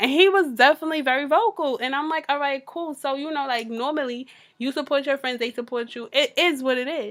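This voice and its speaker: At a fairly quick pace with hardly any pauses, a woman speaks at a high pitch with ordinary pitch variation. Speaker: podcast co-host. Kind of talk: casual chat.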